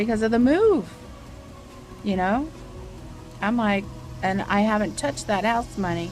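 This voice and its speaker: Music plays behind a woman whose fairly high voice has ordinary pitch variation. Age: 60s. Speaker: vlogger and artist. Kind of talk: casual vlog update. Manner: hesitant, filler-heavy.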